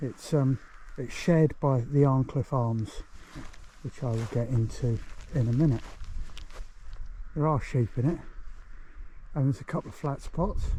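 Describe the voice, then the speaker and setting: Somewhat breathy and dark, mellow in tone, a man with an English accent speaks at a moderate pace and medium pitch, with long, frequent pauses. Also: ordinary pitch variation. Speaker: hiking vlogger. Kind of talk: outdoor vlog narration. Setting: outdoors. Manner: quieter, keeping voice down.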